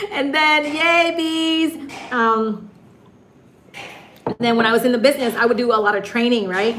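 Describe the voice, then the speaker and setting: With noticeable background noise and audible room echo, a high-pitched woman in an American accent speaks at a moderate pace in an animated tone with lively intonation, leaving long, frequent pauses. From US Midwest, Michigan. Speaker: YouTuber and live stream host. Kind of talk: live stream chat. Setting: live stream.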